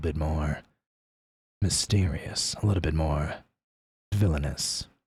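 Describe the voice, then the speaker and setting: A gravelly, somewhat breathy man's voice, very deep and low in pitch, with ordinary pitch variation at a moderate pace. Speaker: vtuber streamer. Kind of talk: casual chat. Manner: casual, hesitant with fillers.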